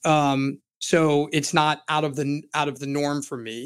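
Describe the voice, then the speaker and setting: On a very clean recording with a silent background, a man with an American accent speaks at a fairly high pitch in a monotone, flat intonation. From Florida. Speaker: criminal defense attorney. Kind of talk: interview. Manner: halting, repeats words.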